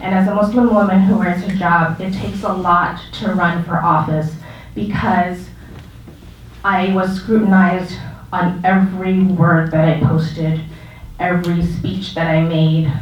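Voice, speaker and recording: Over noticeable background noise and audible room echo, a woman with a fairly low pitch talks at a fairly slow pace with fairly even intonation. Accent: American. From Arizona, US. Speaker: community leader and school board candidate. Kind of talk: public talk at exhibit.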